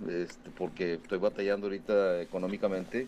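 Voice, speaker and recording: The speaker talks at a moderate pace in an ordinary speaking voice. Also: man. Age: 50s. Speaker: listener calling in. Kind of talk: voice message.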